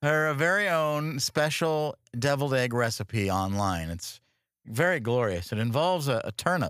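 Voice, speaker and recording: This man's voice sits at a fairly high pitch and makes very wide pitch swings. His tone is animated. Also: moderate pace, very clean recording, silent background. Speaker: podcast co-host. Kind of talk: casual comedic banter. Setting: studio. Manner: animated, jokey.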